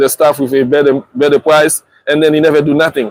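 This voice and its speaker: In a strong Haitian accent, a man with a fairly high pitch speaks with monotone, flat intonation, in a dry, close sound with no echo. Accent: strong Haitian Creole. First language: Haitian Creole. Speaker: family vlogger. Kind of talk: casual live stream chat. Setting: outdoors. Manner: halting, many repetitions.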